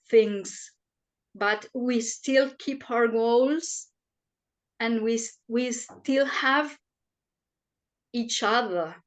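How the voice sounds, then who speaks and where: In a non-native accent, a woman talks at a very slow pace with a fairly high pitch and fairly even intonation, the background quiet. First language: not English. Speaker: panelist. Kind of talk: panel discussion.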